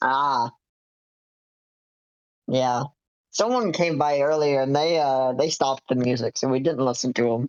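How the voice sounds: The voice has a clear, smooth, slightly mellow tone, with ordinary pitch variation at a fairly slow pace. Long, frequent pauses break it up, and the sound is dry and close with no echo.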